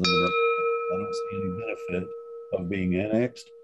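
A man's very deep, low voice with an American accent over loud background noise. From US Midwest. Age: 50s. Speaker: resident giving public comment. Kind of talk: public comment. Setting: video call. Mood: frustrated, critical. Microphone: video call.

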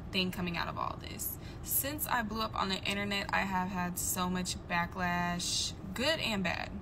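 Against noticeable background noise, a woman speaks at a fairly slow pace. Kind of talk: casual vlog chat. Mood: frustrated but calm. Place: car. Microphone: phone near.

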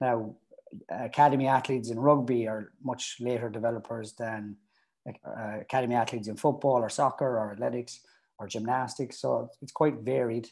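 Moving at a moderate pace with fairly even intonation, a man speaks over a quiet background. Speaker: youth academy strength and conditioning coach. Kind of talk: interview. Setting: video call. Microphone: earbuds.

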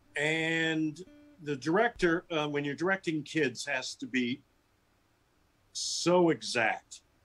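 Faint music plays in the background as the speaker, with an American accent, talks with ordinary pitch variation. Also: man. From US West Coast. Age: 60s. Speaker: author and teacher; teacher. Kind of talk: interview. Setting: video call. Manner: animated. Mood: warm, reflective. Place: home room. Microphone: video call.

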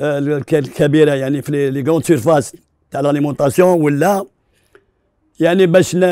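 With a dark, mellow tone and fairly high pitch, a man talks at a fairly slow pace with long, frequent pauses and fairly even intonation, in a dry sound with no echo against a quiet background. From Algeria, Algiers; Algeria. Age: 50s. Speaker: neighbourhood committee head; interview guest. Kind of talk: testimony; interview answer. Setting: studio. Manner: halting. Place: studio.

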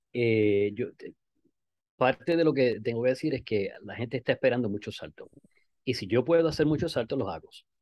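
With a Puerto Rican accent, the speaker goes at a fairly quick pace with ordinary pitch variation and long, frequent pauses. Loudness swings widely, and the sound is dry with no echo. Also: man, medium pitch for a man. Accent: Puerto Rican Spanish, dropped R's. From Puerto Rico. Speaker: skydiver and amateur radio operator; amateur radio operator. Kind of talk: interview. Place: home room. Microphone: video call.

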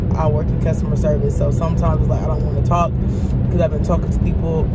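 Loud noise sits behind the voice. The speaker is a woman. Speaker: vlogger. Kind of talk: casual vlog chat. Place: car. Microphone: phone near.

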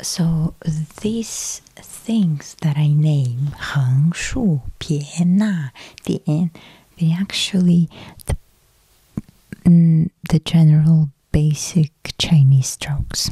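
Whispering and soft-spoken, somewhat breathy, the voice moves at a very slow pace with long, frequent pauses, in a dry sound with no echo over a quiet background. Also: woman. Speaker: ASMR creator. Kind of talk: ASMR soft-spoken Chinese lesson. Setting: close-up studio microphone. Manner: soft-spoken, whispery. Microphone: studio mic.

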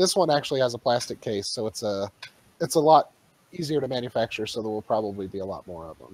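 A man talks at a very fast pace with lively intonation, and the sound is dry with no echo. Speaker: podcast co-host. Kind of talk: casual chat. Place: home room.

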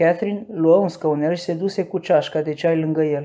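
In a very clean recording with a silent background, someone talks at a moderate pace. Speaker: audiobook narrator. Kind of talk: dramatic audiobook narration with character voices.

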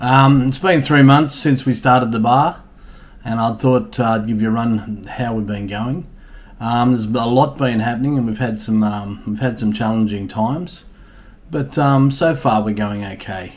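At a moderate pace, a man talks with ordinary variation in pitch. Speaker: bar owner vlogger. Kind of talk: casual vlog chat. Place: home room. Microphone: webcam.

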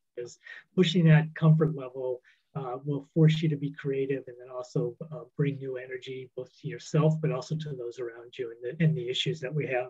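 With an American accent, a man talks at a fairly quick pace in a dark, mellow, somewhat breathy tone. His intonation stays fairly even while his loudness swings widely. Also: quiet background. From US West. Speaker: conservation nonprofit worker. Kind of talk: panel introduction. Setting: video call. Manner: halting. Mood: reflective, encouraging. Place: home room. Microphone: video call.

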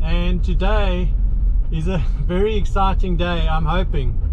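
Noticeable background noise accompanies a man talking at a fairly slow pace. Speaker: vehicle restoration vlogger. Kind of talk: casual vlog chat. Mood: excited, upbeat. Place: car. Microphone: phone near.

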